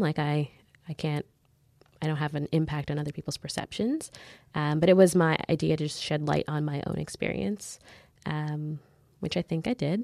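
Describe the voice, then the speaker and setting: A woman's very deep, low voice, dark and mellow in tone with fairly even intonation, dry and close with no echo, on a very clean recording against a silent background. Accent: Canadian. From Canada, Mississauga suburbs. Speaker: lawyer and writer. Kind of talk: interview.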